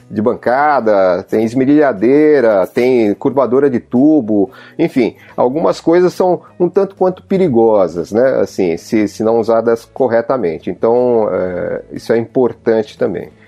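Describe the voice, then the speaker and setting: Fairly slow, medium-pitched male speech with lively intonation and very even loudness, music playing behind it. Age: 50s. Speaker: self-service garage owner. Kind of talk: casual chat.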